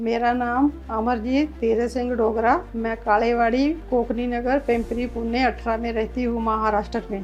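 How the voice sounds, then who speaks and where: A woman speaks with a fairly high pitch and monotone, flat intonation. There is noticeable background noise. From Punjab, Hoshiarpur district, India. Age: 60s. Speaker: customer giving testimonial. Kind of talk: testimony.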